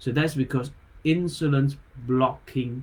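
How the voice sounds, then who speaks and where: Somewhat breathy male voice with a non-native accent, fairly slow, with ordinary pitch variation. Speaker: acupuncturist. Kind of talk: health talk livestream. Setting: live online video. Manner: halting, stumbles on words.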